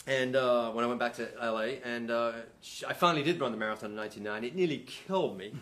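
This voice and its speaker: Talking at a very fast pace, a man with an English accent uses lively intonation at a medium pitch. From England. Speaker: runner, brother of the host. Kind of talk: casual chat.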